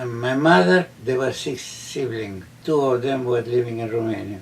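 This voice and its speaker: A man speaks at a moderate pace and a medium pitch with ordinary pitch variation. Noticeable background noise is present. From Romania. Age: 80s+. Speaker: Holocaust survivor. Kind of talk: interview answer.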